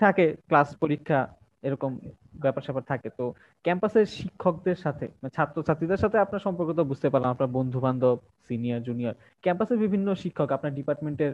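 This man has an ordinary speaking voice, pitched fairly high. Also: lively intonation. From Old Dhaka, Bangladesh. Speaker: podcast host. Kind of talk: casual interview. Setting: live online stream.

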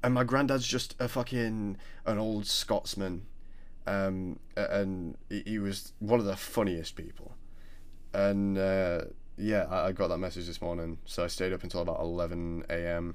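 A man speaks at a moderate pace in a fairly low voice with ordinary pitch variation. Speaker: podcast co-host. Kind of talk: casual chat. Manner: halting.

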